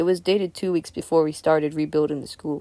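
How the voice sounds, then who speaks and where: A put-on character voice comes in raspy at a middle pitch. The delivery is very fast. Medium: read story. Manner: deliberate.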